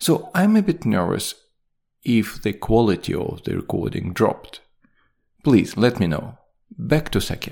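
A man with a non-native accent and a medium-pitched voice with vocal fry talks at a moderate pace, pitch swinging very widely, on a very clean recording with a silent background. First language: not English. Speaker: podcast host. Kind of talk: scripted podcast narration with sponsor read. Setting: home or studio recording, single take.

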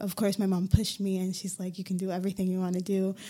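A woman with an American accent, a medium pitch, a dark, mellow tone and fairly even intonation. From Hartford, Connecticut, US. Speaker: recent graduate. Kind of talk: panel discussion. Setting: studio.

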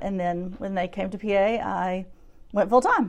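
A woman with a Southern US accent speaks at a medium pitch. She keeps a moderate pace and ordinary pitch variation against a quiet background. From US South, Shreveport, Louisiana. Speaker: preschool teacher. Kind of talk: interview.

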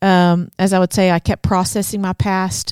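On a very clean recording with a silent background, a woman speaks at a medium pitch and a fairly slow pace in a normal speaking voice, dry and close with no echo. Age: 40s. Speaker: podcast co-host for church leaders. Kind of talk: casual chat.

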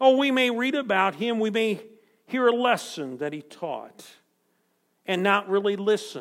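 A fairly slow pace with ordinary pitch variation. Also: man. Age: 60s. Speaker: preacher. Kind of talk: sermon. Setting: church. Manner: repeats words, self-corrects.

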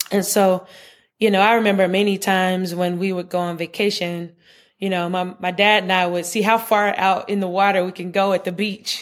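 A woman with an American accent speaks at a fairly quick pace in a medium pitch, her intonation flat and monotone, on a very clean recording with a silent background. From US South, Charlotte, North Carolina. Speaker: pediatrician and researcher. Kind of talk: interview conversation.

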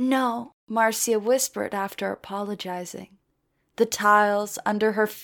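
Someone reads aloud in a natural voice, with fairly even intonation. The background is quiet.

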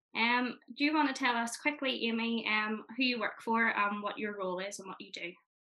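A woman with a Northern Irish accent talks at a fairly quick pace and fairly high pitch, with hardly any pauses, big swings in loudness, and ordinary pitch variation. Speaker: podcast host, youth organisation representative. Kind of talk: casual interview.

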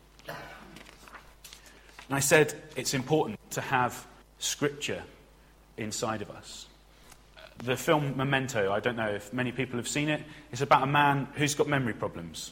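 This man has a medium pitch and ordinary pitch variation, speaking at a fairly slow pace. Noticeable background noise is present. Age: 20s. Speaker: trainee preacher. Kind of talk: sermon.

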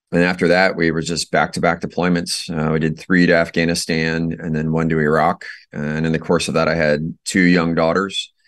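This man has a very deep, low pitch and an American accent. He talks at a moderate pace with monotone, flat intonation and hardly any pauses. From Iowa, US Midwest. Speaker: army veteran and company founder. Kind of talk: interview.

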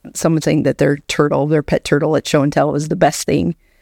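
A woman with an American accent, very deep and low in pitch, dark and mellow in tone, at a moderate pace, in a very clean, dry, close recording with no echo and a silent background. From Alaska, US. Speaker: children's book author. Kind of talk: casual chat.

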